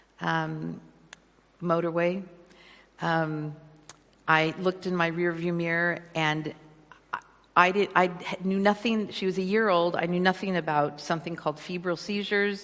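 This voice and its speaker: A woman speaks at a moderate pace with an American accent, her pitch fairly low. Her intonation is monotone and flat, broken by long, frequent pauses. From California, US. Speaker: guest preacher. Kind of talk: sermon. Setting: church.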